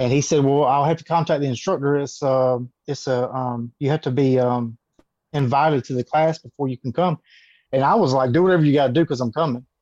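Against a quiet background, a man with a Southern US accent speaks at a fairly high pitch with fairly even intonation. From US South, Georgia. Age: 30s. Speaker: martial artist and former police officer. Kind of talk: interview.

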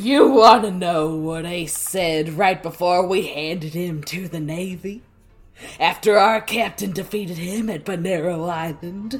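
A put-on character voice at middle pitch and a fairly slow pace, with faint music in the background. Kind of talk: casual podcast read-aloud of manga dialogue. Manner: mocking, taunting.

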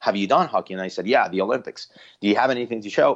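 A Spanish accent with fairly even intonation, against a quiet background. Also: man. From Mexico City, Mexico. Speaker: Spanish-language sports play-by-play announcer. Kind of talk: interview.

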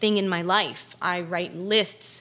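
A woman's voice has a bright, sharp tone. She speaks at a very slow pace. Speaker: chef and restaurant owner. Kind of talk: casual, energetic. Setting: podcast interview.

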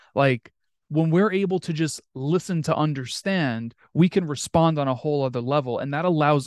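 A man with an American accent has an unremarkable speaking voice at a fairly high pitch, with ordinary pitch variation and a moderate pace. The background is quiet and the sound dry and close, with no echo. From New York. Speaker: podcast host. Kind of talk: interview.

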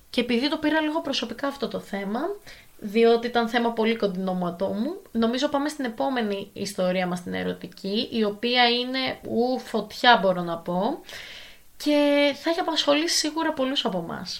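At a moderate pace, a woman speaks in a fairly high pitch with lively intonation. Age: 20s. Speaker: podcast host, advice giver. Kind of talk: casual advice podcast monologue. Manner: animated.

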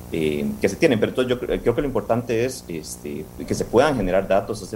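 A man's fairly low voice carries vocal fry. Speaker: conservation group director. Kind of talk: interview.

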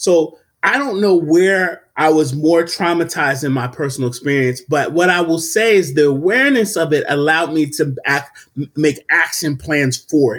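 On a very clean recording with a silent background, a man with a plain, everyday voice speaks at a moderate pace, fairly high in pitch with ordinary pitch variation. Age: 30s. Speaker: mental health professional, podcast host. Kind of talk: casual discussion podcast.

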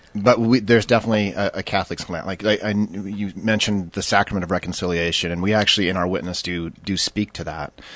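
With an American accent, a man talks at a very fast pace in a fairly low voice, with hardly any pauses, over a quiet background. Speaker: deacon and marriage program mentor. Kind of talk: radio interview, personal testimony. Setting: radio studio. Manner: halting, many fillers.

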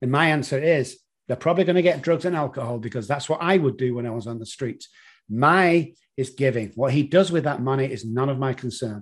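A man speaks with a Manchester accent over a quiet background. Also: medium pitch for a man, ordinary pitch variation, fairly quick pace. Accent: British (Manchester). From Manchester, England. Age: 60s. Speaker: addiction consultant. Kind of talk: interview.

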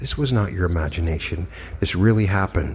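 In a calm, soothing tone, a man speaks with a very deep, low pitch and ordinary pitch variation. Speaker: meditation guide. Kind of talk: guided meditation. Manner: slow, calm, soothing, with long pauses; hypnotic, gentle, dreamy.

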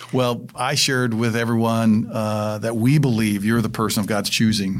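With an American accent and a normal speaking voice, a man talks at a fairly quick pace and a fairly low pitch with fairly even intonation. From Indiana. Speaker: school superintendent. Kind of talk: casual interview.

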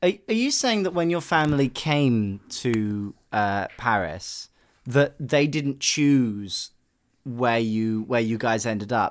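A man's British accent comes across on a very clean recording, its background silent. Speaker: podcast host. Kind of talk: casual interview. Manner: animated.

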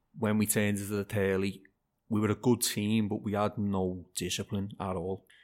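A man with a Liverpool accent, fairly low in pitch and monotone, flat in intonation, on a very clean recording with a silent background. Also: moderate pace. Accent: Scouse (Liverpool). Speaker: amateur football manager. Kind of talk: casual interview chat.

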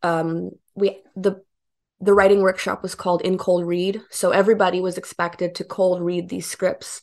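A woman speaks at a medium pitch and a moderate pace. Her intonation is flat and monotone. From Arkansas (Bentonville), born in Romania. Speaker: filmmaker and comedian. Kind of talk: interview.

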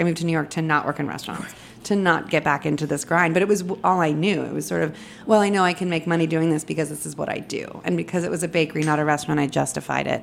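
A woman talks very fast in an American accent, her pitch very deep and low. Her intonation stays fairly even. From Los Angeles, US. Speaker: cookbook author, former food editor. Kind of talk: casual chat. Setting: studio.

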